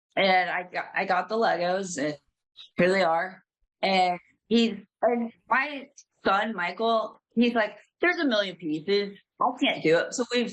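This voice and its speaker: With an American accent, a woman speaks at medium pitch. Her intonation is lively and her pace fairly slow. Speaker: caller. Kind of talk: casual chat.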